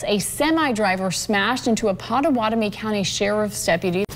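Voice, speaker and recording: A woman speaks in a normal speaking voice. Her pace is moderate. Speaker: TV news anchor. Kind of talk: TV news read. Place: studio. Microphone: lapel.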